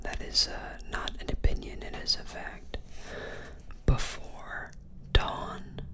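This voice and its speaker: Soft-spoken whispering at a very slow pace, with noticeable background noise. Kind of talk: casual unboxing talk. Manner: soft ASMR whisper.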